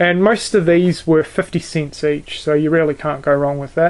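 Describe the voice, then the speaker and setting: A man speaks in a New Zealand accent, fairly high in pitch with fairly even intonation. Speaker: YouTuber, video collector. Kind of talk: casual show-and-tell video. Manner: hesitant, many fillers.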